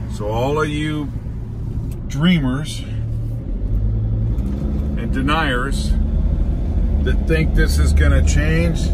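Loud background noise fills the recording. The speech goes at a very slow pace. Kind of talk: casual vlog commentary. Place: car. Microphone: phone near.

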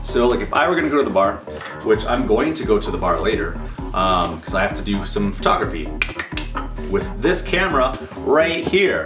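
A man talks with clear music in the background. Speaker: sobriety vlogger. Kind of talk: casual vlog chat. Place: home room.

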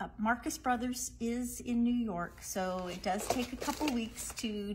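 The speaker talks at a fairly slow pace with ordinary pitch variation. Light background noise can be heard. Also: woman. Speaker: presenter. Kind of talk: product showcase live stream. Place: shop. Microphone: phone near.

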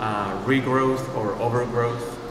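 A man's slow, fairly even delivery at a medium pitch, with audible room echo and clear background noise

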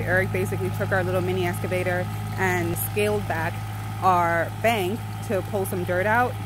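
The voice comes with noticeable background noise and a dry sound with no echo. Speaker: vlogger filming partner. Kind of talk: casual vlog chat. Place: open country. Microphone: phone near.

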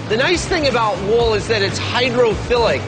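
Clear music runs in the background. Over it, a man talks. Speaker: TV show host. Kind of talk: TV presenter explanation. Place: factory.

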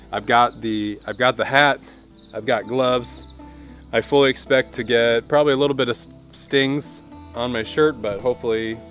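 Heard over light background noise, a man talks at a moderate pace with ordinary pitch variation, the sound dry with no echo. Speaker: homesteading vlogger. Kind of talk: casual vlog chat. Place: open country.

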